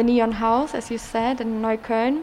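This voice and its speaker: A woman's fairly high voice in a German accent, at a moderate pace over noticeable background noise. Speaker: community radio host. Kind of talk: casual interview. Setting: live broadcast in an exhibition hall.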